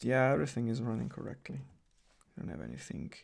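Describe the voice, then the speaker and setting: This man speaks in a medium pitch with an Italian accent. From Italy. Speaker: coding YouTuber. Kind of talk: live stream tutorial with Q&A. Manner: casual, hesitant with fillers.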